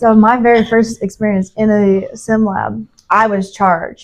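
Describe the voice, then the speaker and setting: A woman speaks loudly with an American accent. Her pitch is fairly high and her intonation is monotone and flat. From Indiana, US Midwest. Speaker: nursing student. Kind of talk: casual chat.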